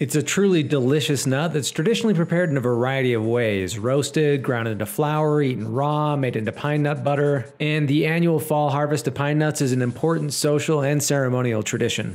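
An upbeat man with an American accent and a fairly high pitch, ordinary pitch variation, a fairly quick pace with hardly any pauses, very even loudness, and noticeable background noise. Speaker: woodworker. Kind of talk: casual talk to camera.

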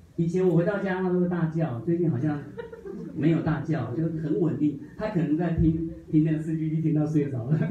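A man with a fairly high pitch speaks at a fairly quick pace with fairly even intonation. Noticeable background noise and audible room echo can be heard. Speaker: study group member. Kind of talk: testimony. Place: meeting room.

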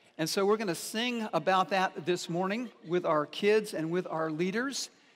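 A man speaks at a fairly slow pace. His pitch is high, with ordinary variation. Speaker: lead pastor. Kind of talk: church announcement / welcome address. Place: church. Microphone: headset.

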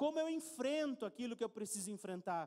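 Against a quiet background, a man sounds animated, his intonation lively. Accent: Brazilian. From Brazil. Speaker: preacher. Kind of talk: sermon. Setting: church. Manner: conversational. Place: church. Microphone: handheld.

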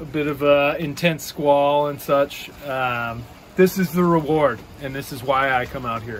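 A man speaks at a very slow pace. There is light background noise. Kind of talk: casual vlog chat. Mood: relaxed, content. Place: boat. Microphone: phone near.

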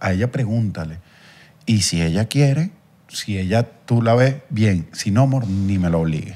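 A man speaks with a dark, mellow tone. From Venezuela, Guatire; Venezuela. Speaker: content creator. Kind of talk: casual chat. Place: studio. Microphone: handheld.

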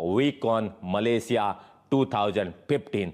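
Against a quiet background, a man with an Indian accent speaks with lively intonation. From Jodhpur, Rajasthan, India; Rajasthan, India. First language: Hindi. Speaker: network marketing distributor. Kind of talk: motivational speech. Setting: online event. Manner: animated. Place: home room. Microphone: lapel.

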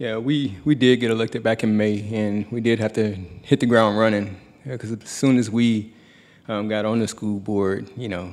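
A man with a plain, everyday voice, fairly low pitch, fairly even intonation and a moderate pace. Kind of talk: public forum address. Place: hall. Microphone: podium.

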